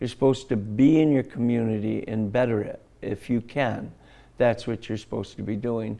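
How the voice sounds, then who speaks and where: A man speaks at a medium pitch in an American accent, his tone dark and mellow. His intonation stays fairly even against a quiet background. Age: 70s. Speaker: martial arts grandmaster. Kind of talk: interview.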